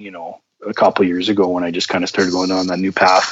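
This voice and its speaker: A man talking at a fairly quick pace. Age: 30s. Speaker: podcast guest sharing personal story. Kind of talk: interview. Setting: phone call. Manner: halting, many fillers.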